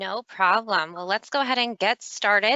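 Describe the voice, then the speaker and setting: Using a normal speaking voice, a woman talks at a medium pitch with ordinary pitch variation. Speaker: business development manager, snow retention presenter. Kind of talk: webinar presentation.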